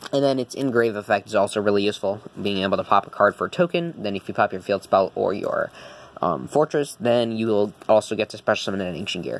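A man talks at a very fast pace with lively intonation. His pitch is fairly low. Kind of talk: tutorial. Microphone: phone near.

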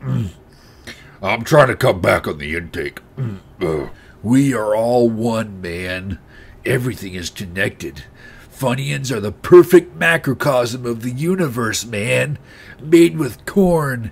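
Using a put-on character voice at medium pitch, a man sweeps through very wide pitch swings. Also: fairly slow pace. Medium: voice reel. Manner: slow, spaced-out.

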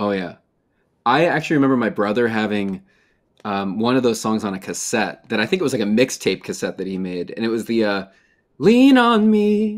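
In an American accent, a man talks at a fairly quick pace with ordinary pitch variation over a quiet background. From Chicago area. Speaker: interviewer, music company founder; interviewer, podcast host. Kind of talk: interview. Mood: relaxed, friendly. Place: home room. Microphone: video call.

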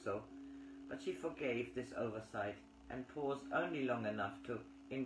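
The speaker does plain reading aloud.

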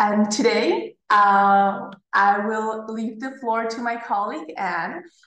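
Audible room echo surrounds a woman speaking. She talks at a very slow pace with fairly even intonation. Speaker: study advisor hosting webinar. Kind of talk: presentation. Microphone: webcam.

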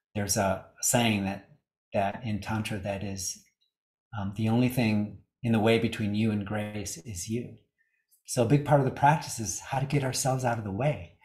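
A somewhat breathy man speaks at a moderate pace in a fairly low pitch, with fairly even intonation. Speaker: yoga teacher. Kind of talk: talk on yoga philosophy. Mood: warm, smiling, relaxed.

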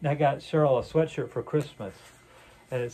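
The tone is dark and mellow with a slightly husky edge. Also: man.

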